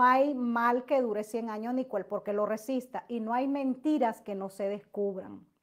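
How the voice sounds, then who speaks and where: A high-pitched woman speaks with hardly any pauses. The background is quiet. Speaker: YouTube gossip commentator. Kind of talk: livestream chat with viewers. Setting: livestream. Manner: loud; animated. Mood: animated, sometimes indignant. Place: home room. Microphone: webcam.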